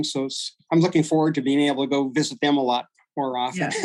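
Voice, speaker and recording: A man with a Pacific Northwest accent, fairly high pitch, monotone, flat intonation and a fairly quick pace. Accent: American, Pacific Northwest. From US Pacific Northwest. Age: 70s. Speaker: brewery owner. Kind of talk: interview.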